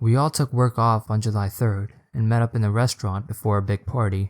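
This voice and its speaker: In a dry, close sound with no echo, a man with a normal speaking voice talks at a fairly quick pace and fairly low pitch, his intonation fairly even. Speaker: storyteller. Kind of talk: horror story narration.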